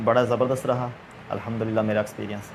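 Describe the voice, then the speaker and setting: A man with a Punjabi accent speaks in a monotone, flat way against noticeable background noise. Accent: Punjabi accent in Urdu. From Punjab, Pakistan (Gujranwala). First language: Punjabi (speaking Hindi). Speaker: interviewer, religious man. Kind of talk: interview. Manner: hesitant, many fillers.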